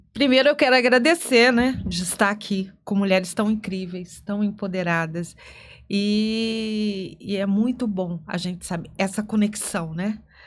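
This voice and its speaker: A woman with a normal speaking voice talks at a fairly slow pace and a medium pitch on a very clean recording with a silent background. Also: ordinary pitch variation. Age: 60s. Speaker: lawyer and author. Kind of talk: podcast interview.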